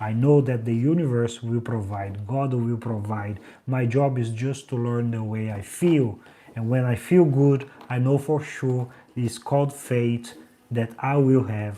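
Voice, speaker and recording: A man with a strong Brazilian accent speaks at a fairly slow pace and medium pitch, his dark, mellow tone carrying fairly even intonation. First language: Portuguese. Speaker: life coach. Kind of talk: motivational livestream with guided affirmations. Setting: livestream.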